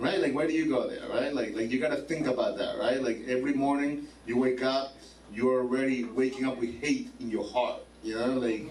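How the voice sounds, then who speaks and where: There is audible room echo as a man speaks at a fairly quick pace in an animated tone. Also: medium pitch for a man. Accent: non-native. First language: Spanish. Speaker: stand-up comedian. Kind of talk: stand-up. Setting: stage with audience.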